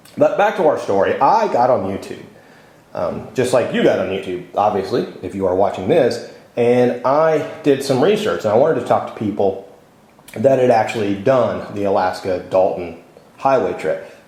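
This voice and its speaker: Audible room echo and noticeable background noise around a man speaking. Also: moderate pace. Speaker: motorcycle travel vlogger. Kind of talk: casual vlog monologue.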